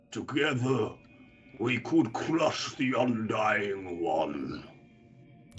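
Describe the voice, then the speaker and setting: A man's put-on character voice, rumbling and raspy, at a very slow pace with very wide pitch swings. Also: medium pitch for a man. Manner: speaking out in a call.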